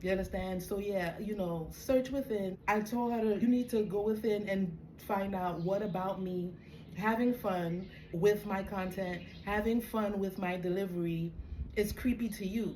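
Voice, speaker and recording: A woman with a Caribbean accent speaks at a moderate pace and medium pitch with fairly even intonation, against audible room echo. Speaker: spiritual coach. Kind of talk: casual monologue.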